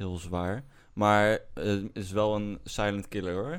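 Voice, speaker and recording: At a very slow pace, a man with a fairly low pitch speaks on a very clean recording with a silent background. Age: 40s. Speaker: podcast co-host. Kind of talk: casual chat. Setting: studio.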